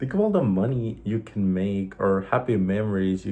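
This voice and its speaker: Against a quiet background, a man with a slight Mexican accent speaks at a moderate pace, with a fairly low pitch, dark, mellow tone, and ordinary pitch variation. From Mexico. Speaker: vlogger. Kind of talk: casual monologue vlog.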